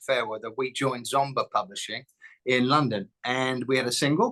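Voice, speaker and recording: A man with an English accent and a medium pitch, bright and sharp in tone, fairly quick, with a dry, close sound and no echo. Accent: English accent, still noticeable. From southern England, Southampton, Hampshire. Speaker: songwriter and bass player. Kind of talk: interview, telling life story. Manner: hesitant, many fillers.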